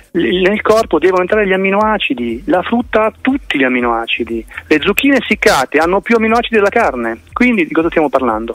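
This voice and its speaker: A man races along at a very fast pace, his high voice swinging very widely in pitch. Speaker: political activist and fruitarian nutrition advocate. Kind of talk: radio interview. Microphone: phone line with slight delay.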